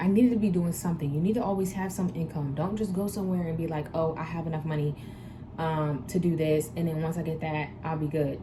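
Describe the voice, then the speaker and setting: A woman speaks at a fairly quick pace in a fairly low, animated voice. Noticeable background noise and audible room echo surround her. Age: 20s. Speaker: vlogger and tattoo artist. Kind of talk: casual vlog Q&A advice.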